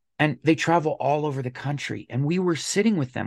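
With an American accent, a man talks at a fairly quick pace in a fairly high pitch with ordinary pitch variation; a plain, everyday voice. The recording is very clean and dry, close, with no echo and a silent background. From Colorado. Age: 40s. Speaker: podcast guest sharing life story. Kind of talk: casual interview, personal story.

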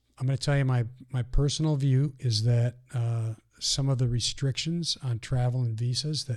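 A somewhat breathy, medium-pitched male voice with monotone, flat intonation. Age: 50s. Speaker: mission organization president. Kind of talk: interview conversation. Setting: studio.

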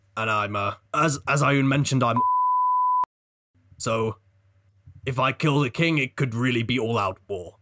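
A man uses a put-on character voice at medium pitch and a moderate pace. Long, frequent pauses break it up while sound effects play in the background. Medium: actual play. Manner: cheerful, blunt.

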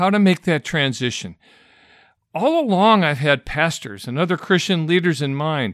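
A man with an American accent speaks at a moderate pace, his pitch fairly high and his intonation lively. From Michigan, US. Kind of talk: solo talk to pastors.

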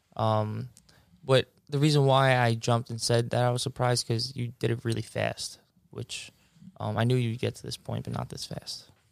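A man speaks in a Long Island accent. His pace is moderate. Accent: New York (Long Island). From Long Island, New York. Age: 20s. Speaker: basketball referee and coach. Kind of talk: casual interview.

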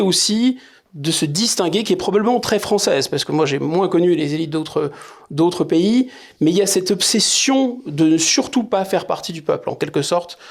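Here a man speaks in a high pitch with ordinary variation. His pace is moderate. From France, Paris suburbs. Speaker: political scientist and essayist. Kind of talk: interview.

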